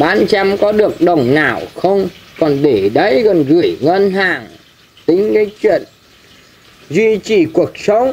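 Pitched high for a man, this speaker has lively intonation. He talks at a very slow pace with long, frequent pauses. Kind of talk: casual conversation.

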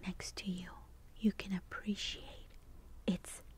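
A woman is whispering. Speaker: ASMR artist. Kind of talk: guided sleep meditation. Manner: soft-spoken, whispered.

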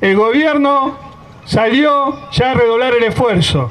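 An extremely high-pitched man's voice with light background noise. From Argentina. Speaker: union leader. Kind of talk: rally speech. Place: street. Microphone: pa.

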